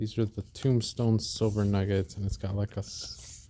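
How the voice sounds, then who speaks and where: A man speaks with a somewhat breathy voice. His pitch sits fairly low. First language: Spanish. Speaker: silver collector video host. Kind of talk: casual vlog. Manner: hesitant, many fillers.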